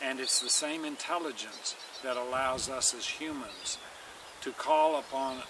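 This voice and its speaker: The recording sounds dry with no echo, though noticeable background noise comes through. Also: man. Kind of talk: informal lecture-style summary. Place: garden. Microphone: camera far.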